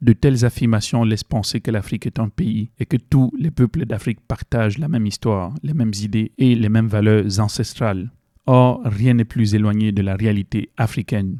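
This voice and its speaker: In a Cameroonian accent, a man talks at a moderate pace with hardly any pauses, a medium pitch, ordinary pitch variation, and a dark, mellow tone, in a dry, close sound with no echo. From Cameroon, west (Bamoun region). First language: Bamoun (speaking French). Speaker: video essayist, student. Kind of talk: educational video essay. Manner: hesitant, many fillers.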